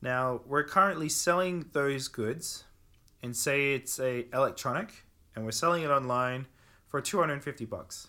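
On a very clean recording with a silent background, a man with an Australian accent speaks at a fairly high pitch in a bright, sharp tone. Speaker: e-commerce company founder. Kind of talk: casual interview chat.

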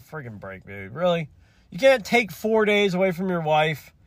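At a moderate pace, a man speaks in a high voice with an angry tone. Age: 40s. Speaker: podcast host. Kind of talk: solo podcast monologue, casual rant. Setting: in a car. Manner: rambling, conversational, irritated; angry ranting in 15:01 stretch, exasperated, emphatic, repetitive.

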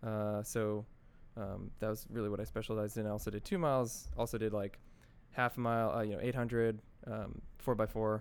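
A man with an American accent and an unremarkable speaking voice talks at a fairly quick pace, his fairly low pitch following fairly even intonation. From New Jersey. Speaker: tech startup co-founder. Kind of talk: interview conversation.

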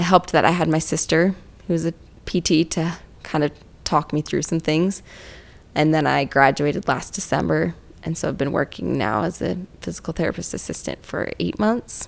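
A woman speaks at a moderate pace with a very deep, low pitch. Her voice has vocal fry. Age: 20s. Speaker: physical therapy assistant. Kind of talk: casual chat.

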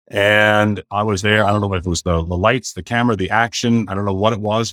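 A man with a western Canadian accent speaks at a very fast pace and a fairly low pitch, with fairly even intonation. The sound is dry and close with no echo, in a very clean recording with a silent background. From Canada, southern Alberta (Blackfoot). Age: 50s. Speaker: realtor and entrepreneur, former pastor. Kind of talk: interview conversation.

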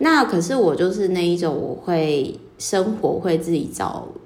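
A woman with a Taiwanese accent, fairly low in pitch, with ordinary pitch variation and audible room echo. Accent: Taiwanese Mandarin. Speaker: podcaster and book reviewer. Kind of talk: solo book-review monologue.

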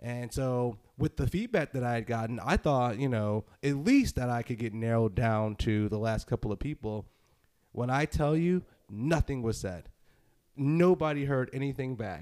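A man with an American accent speaks at a medium pitch, with a dark, mellow tone and ordinary pitch variation. The sound is dry and close with no echo, on a very clean recording with a silent background. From US Northeast. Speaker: podcast host. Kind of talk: casual chat. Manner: fast; animated.

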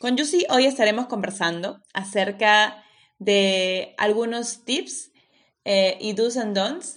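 Her pitch fairly high and its variation ordinary, a woman speaks with a Spanish accent. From Peru. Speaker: podcast host and master's student. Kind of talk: interview; scripted intro.

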